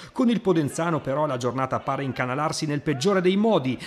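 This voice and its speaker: At a very fast pace, a man speaks in an animated, dramatic tone with fairly high pitch and ordinary pitch variation. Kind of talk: sports highlights voiceover, scripted narration. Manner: fast, animated, dramatic, formal journalistic tone.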